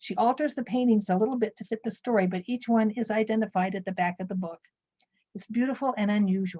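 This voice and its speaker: Somewhat breathy speech rushes by at a very fast pace, with a dry, close sound and no echo. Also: woman, fairly high pitch for a woman, ordinary pitch variation. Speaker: librarian giving book reviews. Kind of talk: presentation of book reviews.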